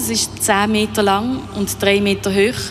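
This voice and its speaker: A woman speaks with a Basel accent. There is noticeable background noise and audible room echo. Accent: Basel Swiss German. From Basel, Switzerland. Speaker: painter. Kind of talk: radio interview. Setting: live at exhibition hall.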